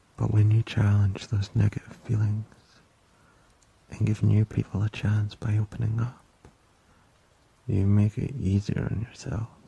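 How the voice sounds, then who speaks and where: A soft-spoken man with a gentle, soothing tone talks at a fairly slow pace and fairly low pitch, his intonation flat and monotone. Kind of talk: ASMR boyfriend roleplay. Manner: gentle, soft-spoken, soothing.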